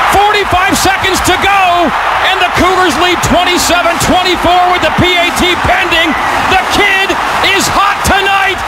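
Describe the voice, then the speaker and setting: Loud background noise runs through the clip as a man talks at a moderate pace. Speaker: football game broadcaster. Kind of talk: live football play-by-play call. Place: booth.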